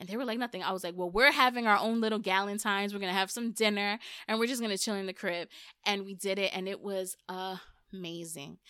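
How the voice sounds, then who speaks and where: A woman with an American accent at a medium pitch, very fast pace and animated tone, on a very clean recording with a silent background. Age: 30s. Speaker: podcast host. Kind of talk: casual chat.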